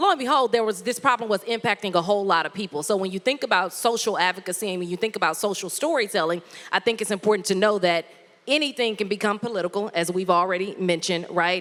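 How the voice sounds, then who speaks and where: This woman speaks very fast in an animated tone. Her pitch is medium, with ordinary variation. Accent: Southern US. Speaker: former TV news anchor and content creator. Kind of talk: workshop presentation.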